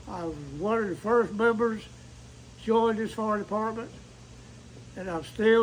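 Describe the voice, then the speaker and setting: A high-pitched man with an eastern North Carolina accent at a moderate pace, fairly even intonation and audible room echo. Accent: Southern US (eastern North Carolina). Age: 80s+. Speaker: volunteer firefighter. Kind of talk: interview. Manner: halting.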